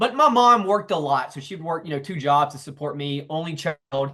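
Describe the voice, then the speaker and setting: This man's raised, projected voice has a bright, sharp tone, very wide pitch swings and a moderate pace. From US South, South Carolina. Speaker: entrepreneur and author. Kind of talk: interview.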